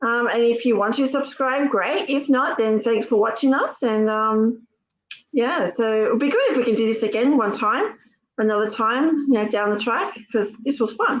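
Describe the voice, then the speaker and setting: In an Australian accent, a woman speaks at a moderate pace and a fairly high pitch, with ordinary pitch variation and very even loudness. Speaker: YouTuber. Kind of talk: casual live-stream chat. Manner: hesitant, many fillers.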